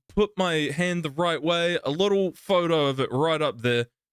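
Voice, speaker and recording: A loud man with a New Zealand accent and a high pitch, at a moderate pace with ordinary pitch variation, in a dry, close sound with no echo. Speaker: streamer and podcast co-host. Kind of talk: casual chat.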